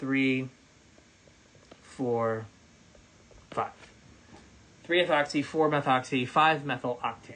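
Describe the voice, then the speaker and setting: A man with an American accent talks at a fairly slow pace. His pitch is fairly high, with ordinary variation. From West Virginia. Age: 40s. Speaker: chemistry professor. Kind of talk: lecture. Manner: casual.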